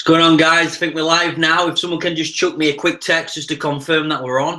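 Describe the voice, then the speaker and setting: A man with a Yorkshire accent speaks fairly quickly in a fairly high, bright, sharp voice with monotone, flat intonation. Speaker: network marketing presenter. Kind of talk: live webinar sales presentation. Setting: live online video broadcast. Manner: fast.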